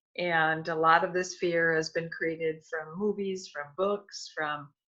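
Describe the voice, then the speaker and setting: A woman with an American accent, fairly low pitch, fairly even intonation and a bright, sharp tone, at a very slow pace over a quiet background. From US Midwest, Milwaukee Wisconsin. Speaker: author and energy healer. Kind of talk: interview.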